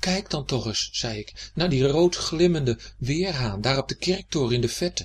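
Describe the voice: Simple, plain reading aloud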